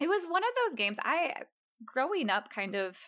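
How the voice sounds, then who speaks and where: This woman has an unremarkable speaking voice and an American accent. Her intonation is lively and her pace moderate. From Texas. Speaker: podcast guest. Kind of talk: casual chat.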